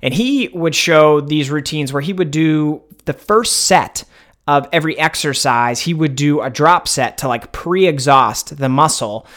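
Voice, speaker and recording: Moderate pace, ordinary pitch variation and a fairly high pitch from a man with an unremarkable speaking voice. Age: 30s. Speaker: online fitness coach and podcast host. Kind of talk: solo podcast monologue, casual.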